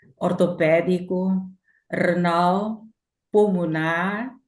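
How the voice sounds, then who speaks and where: A woman speaks with fairly even intonation. Audible room echo is present. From Angola. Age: 60s. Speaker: patient giving testimony. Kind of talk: testimony.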